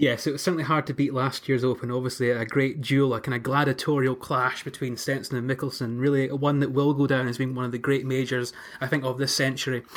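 Speaking at a very fast pace with hardly any pauses, a man keeps a medium pitch and a monotone, flat intonation. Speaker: podcast host. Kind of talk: casual chat.

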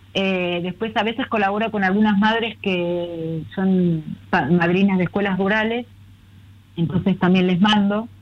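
A woman talks in an ordinary speaking voice at a medium pitch. Her pace is fairly slow and her intonation fairly even. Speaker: children's book author. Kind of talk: casual interview.

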